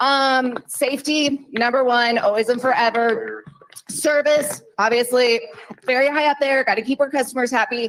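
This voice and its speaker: A woman's high, energetic voice at a moderate pace, with ordinary pitch variation and very even loudness. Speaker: payroll staff speaker. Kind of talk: company safety meeting presentation.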